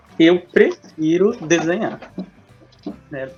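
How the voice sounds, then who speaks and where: A man's voice with fairly even intonation over music in the background. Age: 20s. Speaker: teacher and illustrator. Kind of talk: interview.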